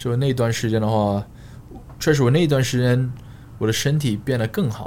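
There is audible room echo as a man talks at a moderate pace with ordinary pitch variation and long, frequent pauses. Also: medium pitch for a man. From Australia, Queensland (Sunshine Coast). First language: English (speaking Chinese). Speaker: fitness coach and influencer. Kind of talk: casual chat. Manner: halting, many fillers and code-switching.

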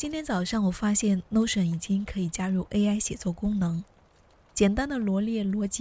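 Somewhat breathy, a woman speaks at a moderate pace with a medium pitch. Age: 30s. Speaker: podcast host. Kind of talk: personal essay narration.

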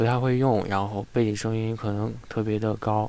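The speaker is a man with a medium pitch. He talks in a flat monotone. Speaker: livestream host. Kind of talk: casual chat. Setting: live stream. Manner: hesitant, many fillers.

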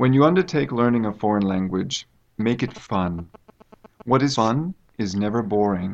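An American-accented man at a moderate pace, fairly low-pitched, with lively intonation and long, frequent pauses. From United States. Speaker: university English teacher. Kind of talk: interview. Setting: studio.

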